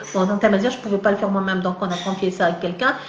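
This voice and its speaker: The speech is very fast and comes from a woman. Noticeable background noise and an audible room echo are present. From Algeria, Kabylie (Tizi Ouzou). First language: Kabyle mixed with French (speaking French). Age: 40s. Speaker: novelist and literature professor. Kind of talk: live interview. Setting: live video stream. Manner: halting, many hesitations.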